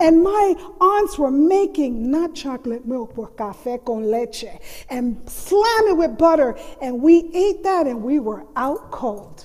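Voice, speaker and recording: Over noticeable background noise, a woman talks at a very slow pace in a high pitch with very wide pitch swings. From US mainland and Puerto Rico. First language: Spanish. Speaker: storyteller, college faculty member. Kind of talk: storytelling performance.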